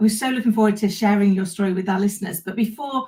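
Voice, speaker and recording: Some breathiness comes through in the voice. Its tone is dark and mellow. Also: woman. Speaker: podcast host. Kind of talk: podcast interview.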